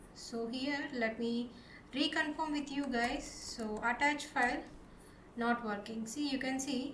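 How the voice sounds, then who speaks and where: Her pitch is high and her intonation fairly even. The woman speaks at a moderate pace with audible room echo. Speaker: programming tutorial presenter. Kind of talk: tutorial.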